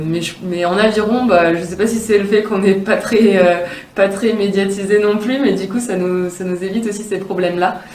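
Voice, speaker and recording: There is noticeable background noise and audible room echo. Through it, a woman speaks at a moderate pace. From France, Grenoble. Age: 20s. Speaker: elite athlete (rower). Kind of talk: promotional interview testimony. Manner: hesitant, many fillers.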